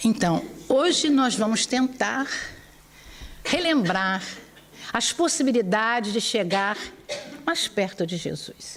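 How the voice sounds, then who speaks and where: A woman with a Brazilian accent talks at a very slow pace, with long, frequent pauses. Her pitch sits fairly high and swings very widely. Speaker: spiritist lecturer. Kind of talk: religious lecture.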